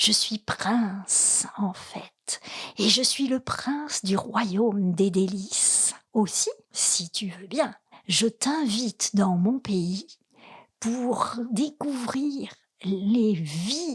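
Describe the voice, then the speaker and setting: A woman puts on a character voice with a fairly high pitch. She speaks at a very slow pace. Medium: read story.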